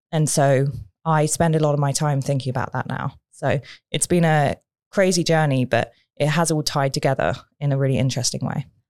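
The speaker talks at a fairly quick pace with a British accent and fairly even intonation. The recording is very clean, with a silent background. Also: woman, very deep, low pitch for a woman. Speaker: communications coach and speaker. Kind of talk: interview, conversational. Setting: studio.

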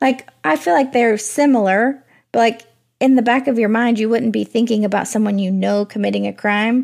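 This is a plain, everyday voice from a woman, pitched fairly high and moving at a moderate pace. The recording is very clean and the background silent. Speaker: true crime podcast co-host. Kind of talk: casual chat, reacting to the story. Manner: conversational, upbeat.

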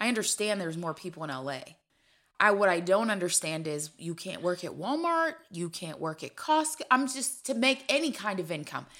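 A woman with a bright, sharp tone speaks at a moderate pace in a medium pitch, her voice swinging very widely up and down. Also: big swings in loudness. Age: 30s. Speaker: podcast co-host. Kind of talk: casual chat.

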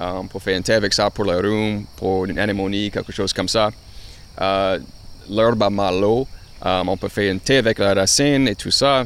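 A man speaks in a plain, everyday voice at a fairly low pitch. His intonation is fairly even and his pace moderate. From Louisiana. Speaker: journalist and gardener. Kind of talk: casual interview.

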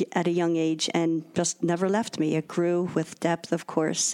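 With an American accent, a woman with a fairly low pitch and an ordinary speaking voice speaks at a fairly slow pace. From Philadelphia. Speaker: religious sister. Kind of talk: radio interview. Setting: recorded from home.

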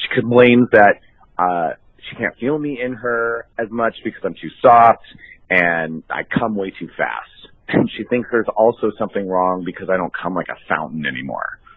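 A man talks at a moderate pace with a fairly low pitch and lively intonation. His is an unremarkable speaking voice. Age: 40s. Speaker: caller. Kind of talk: voicemail.

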